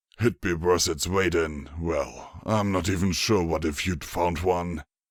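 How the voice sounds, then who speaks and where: A man uses a put-on character voice, raspy and very deep, with fairly even intonation at a fairly slow pace. The recording is very clean, with a silent background. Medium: read story. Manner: easygoing, chuckling, amiable.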